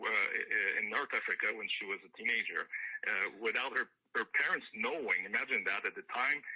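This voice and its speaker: Man with a French Canadian accent, at a moderate pace, with big swings in loudness. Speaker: country singer-songwriter. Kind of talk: radio interview. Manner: halting, many fillers.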